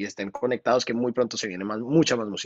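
Fairly even intonation marks a man's speech against a quiet background. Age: 30s. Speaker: singer and music producer; guest. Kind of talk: interview. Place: studio. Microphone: video call.

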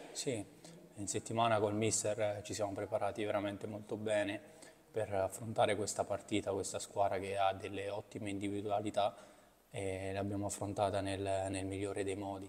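A man speaks in a fairly low voice at a moderate pace. His intonation is flat and monotone. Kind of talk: interview answer. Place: hall. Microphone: podium.

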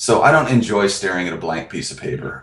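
Audible room echo surrounds a man's very deep, low voice. He speaks with lively intonation. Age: 40s. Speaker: author and production company founder. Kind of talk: interview. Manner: halting. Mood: friendly, relaxed. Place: office. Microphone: video call.

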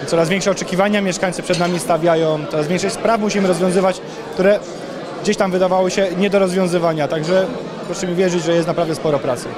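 A man rattles off his words very fast, and noticeable background noise can be heard. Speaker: municipal police officer. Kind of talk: interview. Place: hall. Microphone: handheld.

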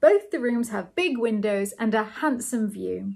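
A woman puts on a character voice with vocal fry at a fairly high pitch. Her intonation is lively and her pace fairly slow. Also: slightly mellow tone.

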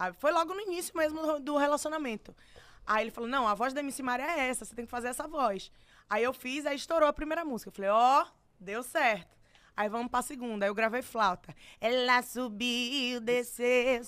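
Her voice is high-pitched and animated, with big swings in loudness. The woman keeps a moderate pace against a quiet background. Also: ordinary pitch variation. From Bahia, Brazil. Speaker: singer; podcast guest. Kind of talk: casual chat. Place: studio. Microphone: studio mic.

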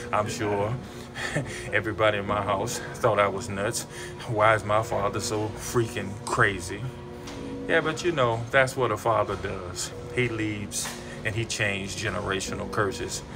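Clear music plays in the background. Over it, a man talks at a moderate pace. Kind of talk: casual vlog chat. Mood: warm, reflective, sometimes laughing. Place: office. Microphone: phone near.

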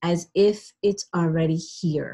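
In a quiet background, a woman is talking. Her voice is somewhat breathy. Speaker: webinar host and relationship coach. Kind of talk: guided visualization, calm coaching. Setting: video call. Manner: soothing, slow, instructive; casual, chatty.

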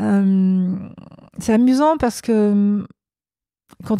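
A dark, mellow tone in a very clean recording with a silent background. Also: woman. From France, Savoie. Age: 50s. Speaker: business executive. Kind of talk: interview.

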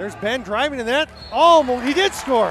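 A man speaks at an extremely high pitch with ordinary pitch variation while crowd noise carries on in the background. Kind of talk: live sports commentary. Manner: fast, excitable play-by-play delivery.

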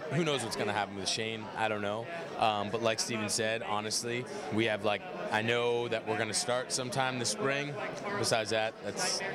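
Loud background noise behind a man at a moderate pace, ordinary pitch variation and a dry sound with no echo. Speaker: actor interviewee. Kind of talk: interview answer. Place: hall. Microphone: handheld.

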